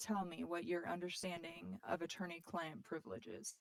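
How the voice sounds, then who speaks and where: A woman speaks quietly at a fairly low pitch. Her intonation is lively. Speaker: defense lawyer in roleplay. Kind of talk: roleplay cross-examination. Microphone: hard to hear, too quiet.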